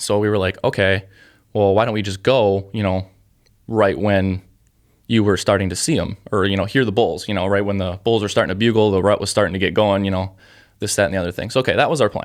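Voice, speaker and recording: At a very fast pace, a man with an American accent speaks in a fairly low pitch with fairly even intonation, recorded very cleanly over a silent background. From south central Minnesota. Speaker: hunting podcast host. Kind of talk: casual solo podcast monologue. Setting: podcast studio.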